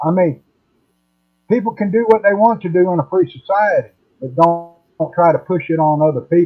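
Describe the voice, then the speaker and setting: Music plays in the background as a man talks fairly quickly at a high pitch with ordinary pitch variation and long, frequent pauses. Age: 60s. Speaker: retiree. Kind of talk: casual chat.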